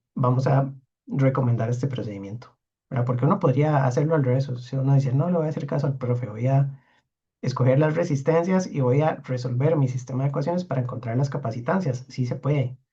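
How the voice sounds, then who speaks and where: At a very fast pace, a man speaks in a somewhat breathy voice with a dark, mellow tone, medium pitch, and ordinary pitch variation. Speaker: university lecturer. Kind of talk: lecture.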